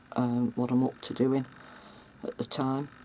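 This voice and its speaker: The woman's pitch is very deep and low. She speaks in a monotone, flat intonation. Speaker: mixed media artist. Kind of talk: casual talk to camera. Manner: hesitant, halting.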